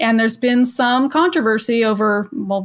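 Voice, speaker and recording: A woman speaks at a fairly quick pace with an American accent and ordinary pitch variation. It is an ordinary speaking voice. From Los Angeles, US. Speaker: electric vehicle advocate. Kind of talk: casual chat.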